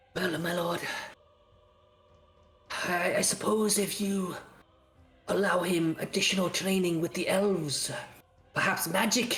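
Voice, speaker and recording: Over background music, a put-on character voice at a middle pitch speaks at a fairly slow pace, broken by long, frequent pauses. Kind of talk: formal, deferential. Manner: soft whisper.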